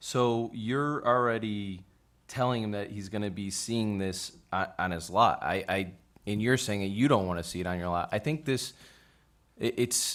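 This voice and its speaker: On a very clean recording with a silent background, a man speaks at a moderate pace with a fairly low pitch and ordinary pitch variation. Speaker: zoning board member. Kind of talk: heated debate. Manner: loud.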